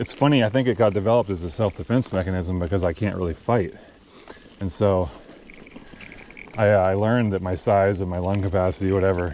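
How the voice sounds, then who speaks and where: A man talks at a very fast pace in a very deep, low voice, with long, frequent pauses. Noticeable background noise runs under the recording. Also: ordinary pitch variation. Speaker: outdoor vlogger. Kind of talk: casual monologue. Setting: outdoors. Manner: casual, halting.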